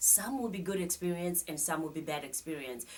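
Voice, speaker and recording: A woman with a fairly low pitch and a Zimbabwean accent. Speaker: psychotherapist and life coach. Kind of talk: studio interview. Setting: studio.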